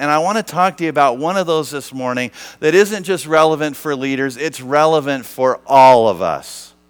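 Recorded very cleanly against a silent background, a man with an unremarkable speaking voice talks at a fairly high pitch with ordinary pitch variation and a moderate pace. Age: 50s. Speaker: pastor and missions leader. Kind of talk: sermon. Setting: church stage with audience.

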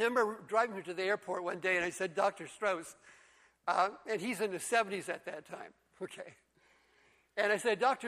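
At a moderate pace, a man raises and projects his high-pitched voice, which has a bright, sharp tone and fairly even intonation. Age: 70s. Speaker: pastor. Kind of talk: sermon. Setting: church with congregation.

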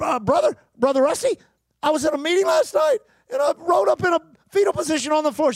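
A man speaks in a put-on character voice pitched extremely high. His pace is fairly quick, broken by long, frequent pauses.

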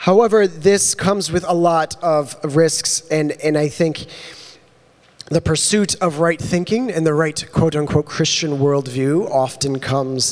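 The speaker goes at a fairly slow pace with ordinary pitch variation over noticeable background noise. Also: man. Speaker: lay preacher. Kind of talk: sermon. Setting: church with live audience.

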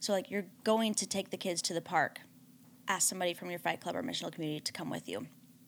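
With vocal fry and ordinary pitch variation, a woman speaks at a very fast pace in a medium pitch. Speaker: pastor's wife and panelist. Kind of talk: casual chat.

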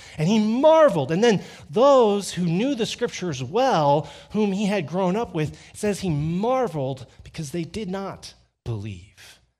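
The recording is very clean, with a silent background. A man speaks high for a man, his pitch swinging very widely. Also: fairly slow pace. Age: 40s. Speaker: pastor. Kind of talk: sermon. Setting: church.

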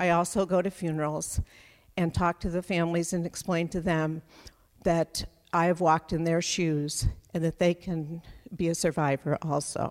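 Monotone, flat intonation at a moderate pace, in a dry, close sound with no echo. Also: woman, fairly low pitch for a woman. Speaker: storyteller. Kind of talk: personal storytelling. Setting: stage with audience. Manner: measured, sincere.

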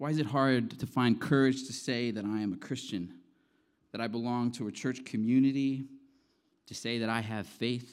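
In a very clean recording with a silent background, a man speaks in a normal speaking voice at a medium pitch, a moderate pace and with fairly even intonation. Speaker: preacher. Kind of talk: sermon. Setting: church.

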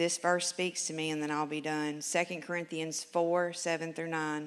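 A woman's fairly low voice in a Southern US accent, with monotone, flat intonation. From Memphis, Tennessee. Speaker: recovery program graduate. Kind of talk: testimony. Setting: church. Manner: reading aloud.

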